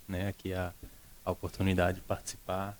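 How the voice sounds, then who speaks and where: Very deep and low in pitch, a man speaks in a monotone, flat intonation, with a dry, close sound and no echo. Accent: Pernambuco. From Recife, northeast Brazil. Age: young. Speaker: school director. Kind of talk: interview. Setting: studio.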